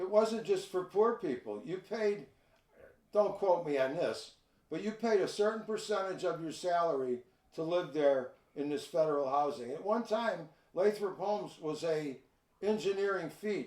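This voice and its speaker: Speaking at a moderate pace, a man with a Chicago accent has a high pitch. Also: ordinary pitch variation. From Chicago, north side. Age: 70s. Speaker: retired park supervisor. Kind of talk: casual interview.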